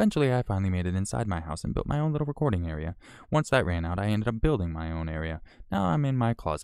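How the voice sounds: Over a silent background in a very clean recording, a man speaks at a fast pace in a fairly low, resonant voice with a clear, smooth tone and big pitch swings.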